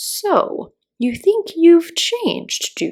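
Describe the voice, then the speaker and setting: Putting on a character voice, a woman speaks at a very slow pace with an extremely high pitch and very wide pitch swings. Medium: read story. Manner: terse, stern, contradicting.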